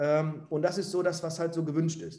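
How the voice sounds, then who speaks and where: A man's high-pitched voice at a moderate pace. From Ruhr area, Essen. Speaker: property owner and manager. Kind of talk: interview.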